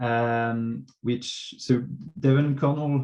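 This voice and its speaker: With a French accent, a man of medium pitch talks at a very slow pace. His intonation is fairly even, with music in the background. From France. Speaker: local government transport officer. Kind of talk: conference presentation. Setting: online workshop. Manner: hesitant, many fillers.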